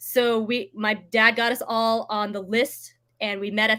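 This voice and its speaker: A woman with a General American accent speaks in a fairly high, bright, sharp voice with monotone, flat intonation, on a very clean recording with a silent background. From United States. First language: Vietnamese. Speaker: real estate agent. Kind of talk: interview. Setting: livestream.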